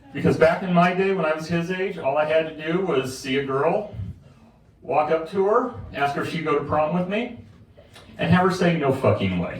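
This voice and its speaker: A man's fairly high voice at a moderate pace, with ordinary pitch variation, noticeable background noise and audible room echo. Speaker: stand-up comedian and army veteran. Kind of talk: stand-up. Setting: stage with audience at a cocktail bar. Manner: loud.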